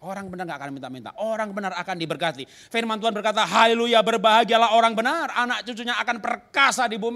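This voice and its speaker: A man with a raised, projected voice, high in pitch, bright and sharp in tone and animated, with lively intonation, big swings in loudness, a very fast pace and hardly any pauses. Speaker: pastor. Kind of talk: sermon.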